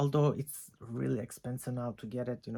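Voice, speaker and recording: Here a man with a non-native accent speaks at a fairly quick pace. His pitch is medium and his intonation fairly even. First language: not English. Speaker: fragrance reviewer. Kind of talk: casual talk to camera.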